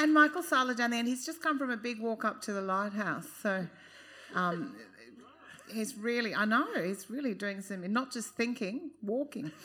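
With an Australian accent, a woman speaks at a fairly high pitch and a moderate pace. Her tone is bright and sharp, and her intonation is lively. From Queensland, Australia. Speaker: panel moderator. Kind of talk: live panel discussion. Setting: stage with audience.

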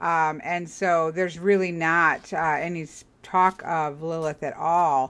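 This woman has an unremarkable speaking voice. Her pitch sits fairly low, and her intonation stays fairly even. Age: 40s. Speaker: podcast host. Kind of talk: casual chat interview.

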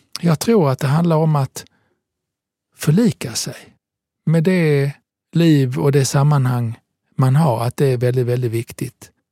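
A man with a dark, mellow tone and medium pitch speaks at a fairly slow pace, somewhat breathy. His intonation is fairly even, and the sound is dry and close with no echo. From southern Italy. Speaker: podcast host. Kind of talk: casual conversation. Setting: studio.

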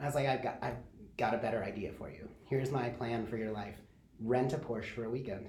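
Amid audible room echo and noticeable background noise, a man with an American accent speaks at a very fast pace. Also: medium pitch for a man, ordinary pitch variation. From Michigan (Kalamazoo). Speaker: social media coordinator and design lecturer. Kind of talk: interview.

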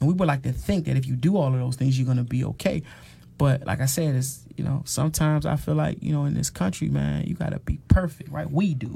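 With an American accent, a somewhat breathy voice with a dark, mellow tone moves at a very fast pace with ordinary pitch variation. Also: man, medium pitch for a man. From Washington D.C. (Northwest). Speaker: author and activist against mass incarceration. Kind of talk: casual interview conversation.

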